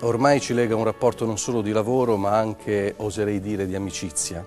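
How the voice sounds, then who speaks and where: Clear music plays in the background as a man with a fairly low voice speaks at a fairly quick pace. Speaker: TV interviewer. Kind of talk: TV interview questions. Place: stage. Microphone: lapel.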